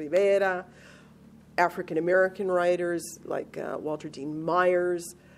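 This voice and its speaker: An unremarkable speaking voice at a fairly slow pace, with fairly even intonation. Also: woman. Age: 50s. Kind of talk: interview answer.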